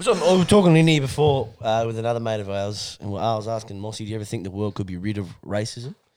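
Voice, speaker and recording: A man talks very fast in an Australian accent. His pitch is medium, with ordinary variation. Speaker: podcast co-host. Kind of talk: casual chat.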